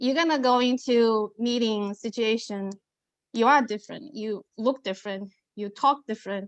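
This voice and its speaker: The woman's voice sits fairly high and moves at a moderate pace. Her intonation stays fairly even. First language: not English. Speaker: aviation professional, panelist. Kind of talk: panel discussion.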